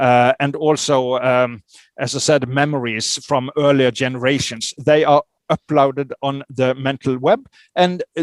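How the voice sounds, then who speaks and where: In a dry, close sound with no echo, a man speaks fairly slowly in a fairly high voice with ordinary pitch variation. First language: not English. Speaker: author on psychic phenomena. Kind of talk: interview. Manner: halting, many fillers.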